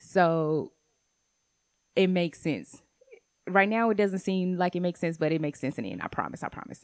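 A woman's fairly low voice at a fairly quick pace, ordinary pitch variation, with long, frequent pauses. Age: 30s. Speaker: podcast host. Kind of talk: personal monologue.

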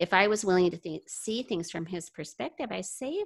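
Here is an unremarkable speaking voice. Its pitch varies in an ordinary way. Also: woman. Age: 60s. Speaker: mother sharing parenting experience. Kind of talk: casual interview. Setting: video call.

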